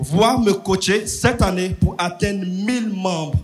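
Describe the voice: A man with a strong non-native accent speaks at a fairly slow pace in a high voice, over noticeable background noise. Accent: strong foreign accent while reading French.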